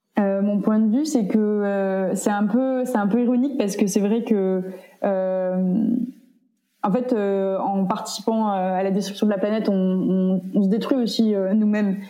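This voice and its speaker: Someone talks at a fairly slow pace with audible room echo. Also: woman, medium pitch for a woman, fairly even intonation. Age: 20s. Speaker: activist and PhD student. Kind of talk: interview. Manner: hesitant, many fillers.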